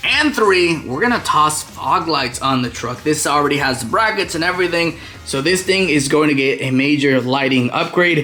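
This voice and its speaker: Over music in the background, a man with a fairly high pitch talks in an animated tone at a moderate pace with ordinary pitch variation and hardly any pauses. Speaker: auto DIY YouTuber. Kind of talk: tutorial. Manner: stuttering today.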